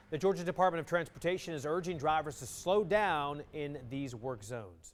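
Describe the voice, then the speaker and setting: Pitch variation is ordinary in an unremarkable speaking voice. The recording is very clean and the background silent. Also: man. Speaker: local TV news anchor. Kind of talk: TV newscast anchor read. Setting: studio.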